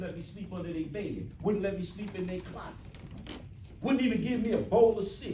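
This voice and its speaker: A man with a high pitch talks in an animated tone at a fairly quick pace, with ordinary pitch variation and big swings in loudness. Noticeable background noise and audible room echo surround him. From New Jersey, US. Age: 60s. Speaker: motivational speaker. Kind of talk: motivational talk to students.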